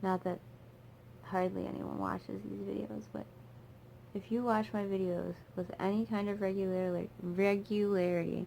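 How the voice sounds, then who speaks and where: The speech is mumbled at a moderate pace, broken by long, frequent pauses. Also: woman. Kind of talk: casual talk to camera while doing makeup. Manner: mumbling, chill, rambling.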